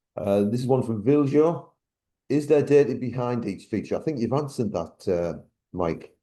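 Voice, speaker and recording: A man's medium-pitched voice in a northeast English accent, dark and mellow in tone, with lively intonation at a moderate pace against a quiet background. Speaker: Q&A moderator. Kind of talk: reading audience questions.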